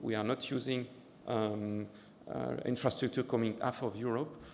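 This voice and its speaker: Monotone, flat intonation with audible room echo. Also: man. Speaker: ocean data program director giving a demo. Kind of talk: conference presentation with live demo. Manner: fast; halting, many fillers and repeats.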